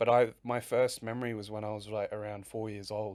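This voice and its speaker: Flat and monotone, a man speaks with an Australian accent at medium pitch. His pace is fairly quick, on a very clean recording with a silent background. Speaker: pro wrestler. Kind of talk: interview chat. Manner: halting.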